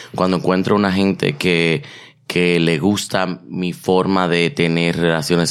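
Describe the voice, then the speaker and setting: This man has a very deep, low voice. He speaks at a fairly slow pace. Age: 30s. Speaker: podcast co-host. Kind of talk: casual chat.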